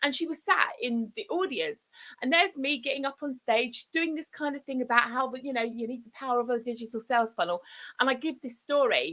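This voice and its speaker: A woman with a southern English accent uses a raised, projected voice, high in pitch and bright and sharp in tone, with big swings in loudness. Her delivery is animated with lively intonation at a fairly quick pace. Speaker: digital marketing consultant. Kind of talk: live broadcast presentation. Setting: live stream. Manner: fast.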